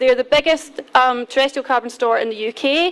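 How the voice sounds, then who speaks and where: Someone with a Scottish accent speaks at a moderate pace with ordinary pitch variation over noticeable background noise. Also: woman. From Scotland. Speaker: peatland restoration specialist. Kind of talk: conference presentation. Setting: conference hall podium.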